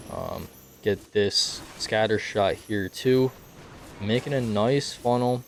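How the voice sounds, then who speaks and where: There is noticeable background noise behind a man's voice. He speaks at medium pitch and a very slow pace. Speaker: gaming video creator. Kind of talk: tutorial. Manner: casual, filler words.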